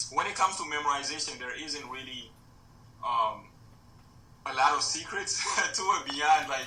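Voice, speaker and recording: A man at a moderate pace, with long, frequent pauses, music in the background and audible room echo. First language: Mandingo. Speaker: podcast guest, language learner. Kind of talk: casual interview. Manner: hesitant, many fillers.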